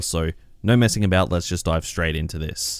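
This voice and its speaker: The voice is quiet and moves at a fairly quick pace. The recording is very clean, with a silent background. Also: man. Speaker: gaming YouTuber. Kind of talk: casual news commentary. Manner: a little quiet.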